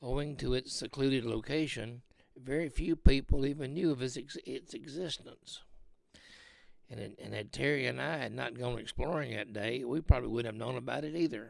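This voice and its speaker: A man puts on a raspy character voice at a medium pitch with ordinary pitch variation. He goes at a fairly quick pace, and his loudness swings widely. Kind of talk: folksy spooky personal story. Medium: read story. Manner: halting, with frequent fillers.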